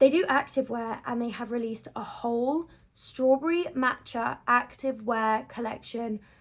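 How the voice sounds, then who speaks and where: A woman with a southern English accent speaks in a high pitch with ordinary pitch variation. She keeps a moderate pace with hardly any pauses. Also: big swings in loudness. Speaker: beauty and lifestyle vlogger. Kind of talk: casual vlog chat. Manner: animated.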